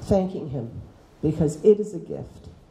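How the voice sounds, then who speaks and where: Speaking at a fairly slow pace, a woman has a dark, mellow tone at a medium pitch with vocal fry and ordinary pitch variation, and there is audible room echo. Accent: American. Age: 60s. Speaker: teacher. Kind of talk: talk to students. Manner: animated.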